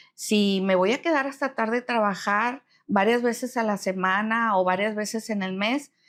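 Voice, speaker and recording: A woman with an ordinary speaking voice talks at a fairly slow pace. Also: very clean recording, silent background. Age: 60s. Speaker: retired human resources professional. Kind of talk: interview conversation.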